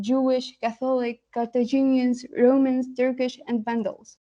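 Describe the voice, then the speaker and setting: A woman speaks with an Arabic accent at a moderate pace. Her voice is high-pitched, with a dark, mellow tone. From Tunisia, Sfax. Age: 20s. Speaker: postgraduate linguistics student. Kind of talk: competition presentation. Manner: hesitant with frequent fillers.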